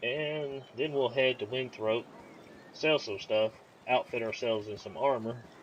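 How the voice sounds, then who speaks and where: Speaking with a strong Southern US accent, a man talks at a fairly slow pace in a relaxed tone with ordinary pitch variation. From US South, Georgia. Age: 30s. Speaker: gaming YouTuber. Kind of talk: let's play commentary. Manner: casual, relaxed.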